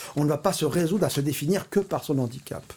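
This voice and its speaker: A somewhat breathy man's voice with a fairly high pitch. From Paris, France. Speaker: artist and photographer. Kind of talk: interview.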